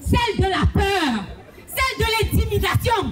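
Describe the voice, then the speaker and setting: A woman at a very slow pace, with audible room echo and music in the background. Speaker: activist speaker. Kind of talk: rally speech. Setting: outdoor demonstration. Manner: impassioned.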